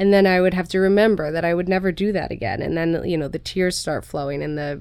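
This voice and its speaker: A woman with a normal speaking voice talks at a fairly quick pace and a fairly low pitch, with ordinary pitch variation. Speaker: author and mother. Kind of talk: casual interview chat.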